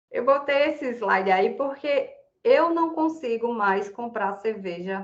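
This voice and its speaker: The woman's tone is animated. Her intonation is lively. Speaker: environmental activist speaker. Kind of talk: online talk presentation.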